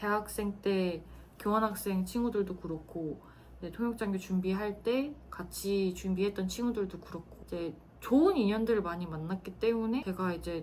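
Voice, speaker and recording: Using an ordinary speaking voice, a woman talks at a fairly slow pace and a medium pitch. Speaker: former military interpreter, office worker. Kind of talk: personal storytelling monologue. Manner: casual, with frequent fillers.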